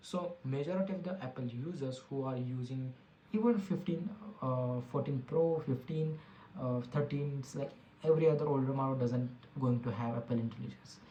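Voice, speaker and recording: The speaker talks at a moderate pace with an Indian accent. Background noise is noticeable. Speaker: tech podcast host. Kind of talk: casual tech commentary. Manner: halting, with frequent fillers and restarts.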